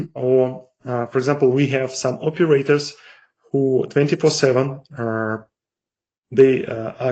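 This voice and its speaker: A somewhat breathy man in a non-native accent, medium in pitch, with fairly even intonation. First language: non-native English speaker. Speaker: marketing executive presenting software. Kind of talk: webinar product demo. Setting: online webinar. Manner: halting, many fillers.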